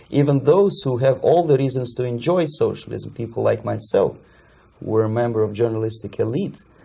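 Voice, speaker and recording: A man with a Russian accent speaks at a fairly quick pace in a medium pitch, his dark, mellow, somewhat breathy voice showing ordinary pitch variation. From Russia (USSR), Moscow. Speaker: former Soviet journalist and defector. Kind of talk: interview. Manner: halting.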